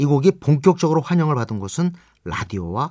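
In a very clean recording with a silent background, a man speaks fairly quickly. His pitch swings very widely. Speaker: radio host and music critic. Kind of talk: scripted radio narration.

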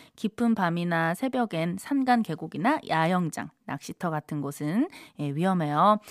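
A woman talks with very wide pitch swings. The sound is dry and close with no echo, in a very clean recording over a silent background. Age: 30s. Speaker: radio DJ. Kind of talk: live radio show hosting. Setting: radio studio. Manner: upbeat, animated.

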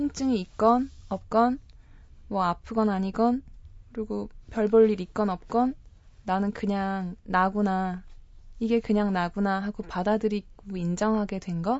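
Very slow female speech, its intonation fairly even. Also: medium pitch for a woman. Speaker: travel guest, pilgrim. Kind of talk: radio interview.

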